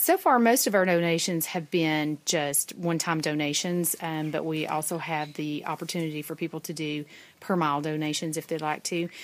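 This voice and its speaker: A woman with a Southern US accent and a very deep, low pitch speaks at a moderate pace with hardly any pauses and fairly even intonation, in a very clean recording with a silent background. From US South, East Tennessee. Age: 40s. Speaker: thru-hiker. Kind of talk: field interview. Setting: outdoors at trail shelter.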